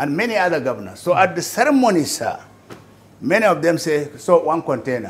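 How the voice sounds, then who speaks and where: A man talks at a moderate pace in a high pitch. His pitch swings very widely. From Nigeria. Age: 80s+. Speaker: businessman; interviewee. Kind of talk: interview. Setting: at home. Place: home room.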